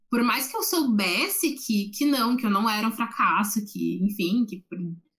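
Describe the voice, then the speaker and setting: Her fairly high voice full of lively intonation, a woman talks at a moderate pace. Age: 20s. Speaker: psychology student. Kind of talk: casual chat. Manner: halting, repeats words.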